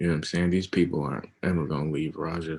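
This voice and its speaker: A man's very deep, low voice with vocal fry. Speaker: forex trader. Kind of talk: casual chat. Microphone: video call.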